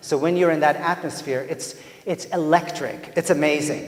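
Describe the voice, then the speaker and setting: A man with a Persian accent speaks at a moderate pace and a fairly high pitch, with audible room echo and noticeable background noise. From Iran. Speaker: theatre professor. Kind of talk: lecture. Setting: stage with audience. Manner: animated.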